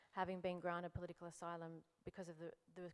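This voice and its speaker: A woman's fairly low voice in an Australian accent, flat and monotone, at a very fast pace. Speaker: human rights lawyer. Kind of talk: panel discussion.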